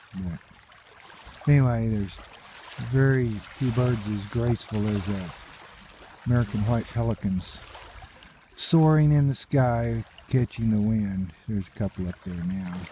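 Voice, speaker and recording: Fairly slow speech with long, frequent pauses and ordinary pitch variation, over noticeable background noise. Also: man, medium pitch for a man. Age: 60s. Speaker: nature vlogger. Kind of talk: casual narration while hiking. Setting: outdoors by a lake.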